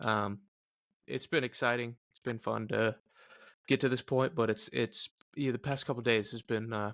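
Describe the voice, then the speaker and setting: At a moderate pace, a man speaks with medium pitch, fairly even intonation, vocal fry, big swings in loudness and long, frequent pauses, in a dry, close sound with no echo. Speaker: fantasy baseball podcast host. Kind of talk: casual chat.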